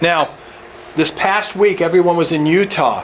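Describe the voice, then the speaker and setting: Loud and high-pitched, a man speaks with fairly even intonation over noticeable background noise. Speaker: real estate investing coach. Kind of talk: presentation.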